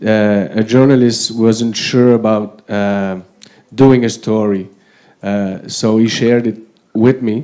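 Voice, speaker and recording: With a non-native accent, a man talks fairly slowly in a medium pitch. His tone is dark and mellow, and his intonation stays fairly even. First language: not English. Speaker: politician. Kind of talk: panel discussion. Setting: conference with audience.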